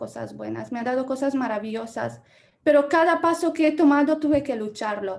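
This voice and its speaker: A woman's high-pitched voice with a Romanian accent. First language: Romanian (speaking Spanish). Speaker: journalism lecturer. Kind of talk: Q&A discussion.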